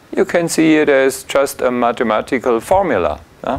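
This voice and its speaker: The man talks at a moderate pace. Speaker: university lecturer. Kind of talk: lecture. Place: classroom.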